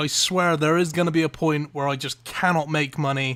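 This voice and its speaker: A man speaks in an animated tone, fairly high in pitch, with an English accent. Noticeable background noise can be heard. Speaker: gaming youtuber. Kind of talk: gameplay commentary. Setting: home at night.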